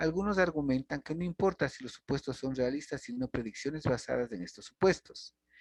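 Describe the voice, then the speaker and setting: In a dry, close sound with no echo, a man with a normal speaking voice talks at a fairly quick pace and a fairly high pitch, with lively intonation and hardly any pauses. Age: 60s. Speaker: university lecturer. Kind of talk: lecture.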